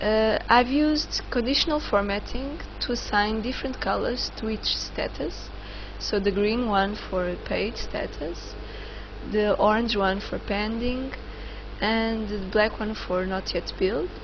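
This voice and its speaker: A woman with a non-native accent speaks at a fairly slow pace, with audible room echo and noticeable background noise. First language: not English. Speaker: online course instructor. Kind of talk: tutorial. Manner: halting, many fillers.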